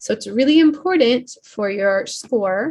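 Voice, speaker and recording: A somewhat breathy woman's voice at a fairly slow pace, with lively intonation. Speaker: English teacher. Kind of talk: online class lesson.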